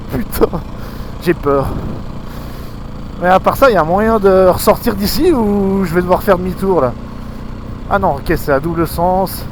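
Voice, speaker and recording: With noticeable background noise behind him, a man speaks at a fairly slow pace in a high, animated voice. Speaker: motorcycle vlogger. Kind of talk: casual vlog commentary while riding. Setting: riding an enduro motorcycle in snow, helmet camera. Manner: animated, exclamatory.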